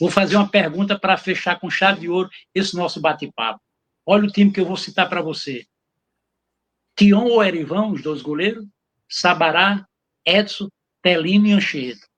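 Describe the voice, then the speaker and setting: Speaking at a moderate pace, a man uses a high voice with ordinary pitch variation. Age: 80s+. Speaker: football historian. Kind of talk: interview, casual chat.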